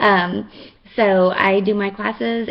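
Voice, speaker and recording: A woman in a Texan accent, her intonation fairly even. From Texas. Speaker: makeup seller and fitness instructor. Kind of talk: makeup tutorial. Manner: casual, chatty with many fillers.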